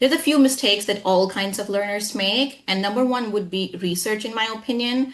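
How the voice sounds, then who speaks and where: Over noticeable background noise, a woman talks at a fairly quick pace with hardly any pauses, at a medium pitch with ordinary variation. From India, Jharkhand. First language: Hindi. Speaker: English trainer. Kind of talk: interview.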